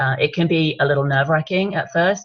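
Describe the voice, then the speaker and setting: A woman's very deep, low, somewhat breathy voice with an English accent. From England. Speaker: wine business consultant. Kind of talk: training webinar talk. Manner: conversational, with frequent fillers.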